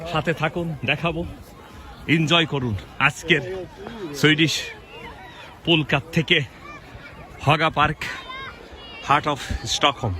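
A man's fairly high-pitched voice with fairly even intonation, crowd noise in the background. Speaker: vlogger. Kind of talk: walking vlog narration. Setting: outdoors. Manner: halting.

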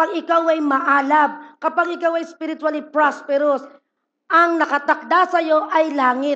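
A woman speaks at an extremely high pitch with a bright, sharp tone. She sounds animated yet moves at a fairly slow pace. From Philippines. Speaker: pastor. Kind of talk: sermon. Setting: church service with congregation. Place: church.

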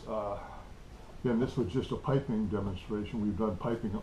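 Amid light background noise and audible room echo, a man with a fairly low, dark, mellow voice speaks somewhat breathily, with ordinary pitch variation. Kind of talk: tutorial. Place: workshop. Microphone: camera far.

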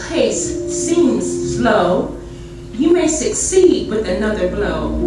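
With clear music in the background and audible room echo, a woman speaks at a very slow pace. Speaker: church member reading a poem. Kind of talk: poetry reading. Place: church.

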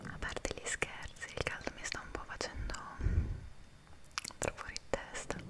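A woman whispers with long, frequent pauses over noticeable background noise. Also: moderate pace. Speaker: ASMR creator. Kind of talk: casual ASMR chat to camera. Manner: whispered.

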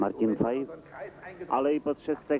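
A man with a fairly high pitch speaks at a very slow pace in fairly even intonation. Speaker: rapid film voice-over dubber.

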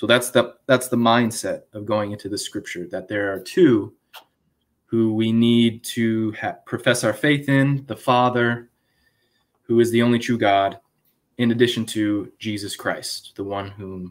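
In a medium-pitched voice, a man talks fairly slowly with fairly even intonation. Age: 20s. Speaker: former Jehovah's Witness, YouTube apologist; Witness. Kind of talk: live stream panel discussion. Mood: earnest, argumentative. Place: home room.

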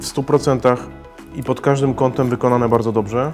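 Over clear music in the background, a man speaks at a fairly quick pace in a monotone, flat intonation. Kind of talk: tutorial. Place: shop.

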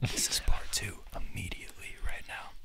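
A man speaks in a whisper. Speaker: ASMR creator. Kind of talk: ASMR story time ramble with a friend. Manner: soft-spoken, whispery. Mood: playful, joking. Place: home room. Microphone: studio mic.

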